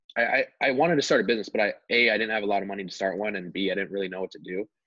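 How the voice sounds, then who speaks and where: Speaking at a very fast pace, a man with a fairly low pitch comes through in a dry sound with no echo. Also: quiet background. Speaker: podcast guest. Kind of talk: interview answer. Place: home room. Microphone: video call.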